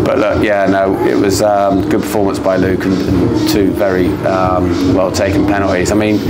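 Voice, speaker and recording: A man speaks at a moderate pace with hardly any pauses over clear background music. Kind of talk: interview answer. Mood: pleased, relieved after win. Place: stadium. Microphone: lapel.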